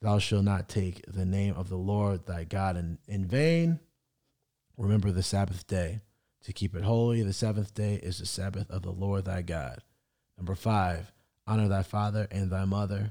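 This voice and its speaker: In a very clean recording with a silent background, a dark, mellow voice moves at a moderate pace with ordinary pitch variation. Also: man, fairly low pitch for a man. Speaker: podcast host, son of the other host. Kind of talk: casual conversation, podcast chat.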